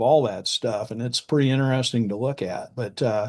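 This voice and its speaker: Pitch varies in an ordinary way. The pace stays moderate. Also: man. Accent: Midwestern US. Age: 60s. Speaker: farmland specialist. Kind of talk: casual interview.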